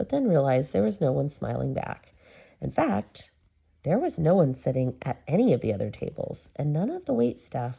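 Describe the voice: The clip is plain reading aloud.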